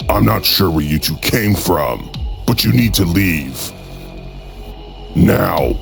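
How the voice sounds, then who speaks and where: A man does a cartoonish character voice with a very deep, low pitch. He speaks at a fairly slow pace over clear background music. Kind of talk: mock-grand formal proclamation. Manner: annoyed, sarcastic.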